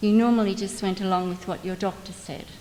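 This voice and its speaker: A woman's medium-pitched voice, with fairly even intonation, is heard through noticeable background noise. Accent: Australian. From Australia, Melbourne. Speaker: mesothelioma patient and advocate. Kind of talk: testimony.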